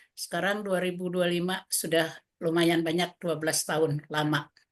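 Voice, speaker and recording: Speaking at a moderate pace, a woman holds a fairly low pitch in a monotone, flat intonation. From Central Java (Wonogiri). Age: 60s. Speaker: community social welfare organization leader. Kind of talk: webinar presentation. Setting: online webinar. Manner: hesitant, many fillers.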